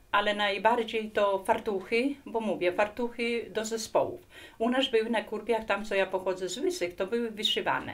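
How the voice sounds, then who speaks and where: A woman speaks at a fairly high pitch with ordinary pitch variation. Her pace is moderate. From Poland, Kurpie region. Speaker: folk artist, lacemaker. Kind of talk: interview testimony. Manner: casual, hesitant with fillers.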